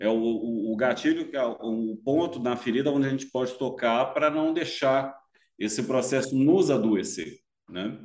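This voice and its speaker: An ordinary speaking voice from a man, medium pitch, moderate pace and ordinary pitch variation. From Brasília, Brazil. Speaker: music therapist and musician. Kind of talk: casual chat.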